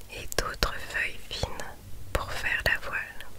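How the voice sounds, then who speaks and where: Whispering at a very slow pace, a woman speaks over noticeable background noise. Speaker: ASMR creator. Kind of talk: guided relaxation story, ASMR. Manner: whispered, soft-spoken, slow.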